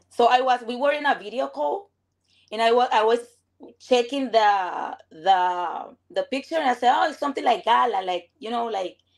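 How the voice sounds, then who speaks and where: In a very clean recording with a silent background, a woman with a Venezuelan accent speaks at a high pitch and moderate pace, making very wide pitch swings. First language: Spanish. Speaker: viewer on a live stream. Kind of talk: casual chat. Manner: halting.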